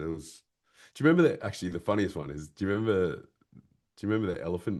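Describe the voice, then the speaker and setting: An animated man talking at a fairly quick pace against a quiet background. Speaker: voiceover artist and boat videographer. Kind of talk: interview chat.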